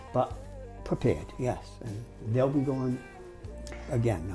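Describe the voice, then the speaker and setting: Over music in the background, a man talks at a moderate pace. He has an American accent. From New York. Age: 70s. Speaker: lawyer and law lecturer. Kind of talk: interview answer.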